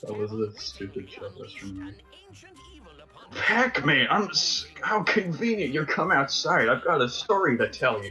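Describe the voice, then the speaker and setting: Music plays in the background of this fairly slow speech with big swings in loudness. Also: man. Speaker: gaming livestreamer. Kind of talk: casual chat. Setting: livestream with co-host.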